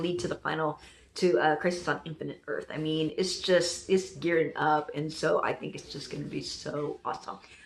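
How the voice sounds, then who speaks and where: An animated tone at a fairly quick pace over noticeable background noise. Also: woman. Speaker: TV reaction youtuber. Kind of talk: casual reaction review. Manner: loud.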